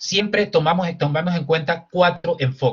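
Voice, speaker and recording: A man speaks with ordinary pitch variation. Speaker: human rights lawyer. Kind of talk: lecture. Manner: fast.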